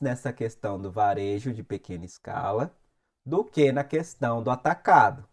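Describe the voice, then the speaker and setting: Lively intonation comes through at a fairly slow pace. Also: man. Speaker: music industry youtuber. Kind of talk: tutorial.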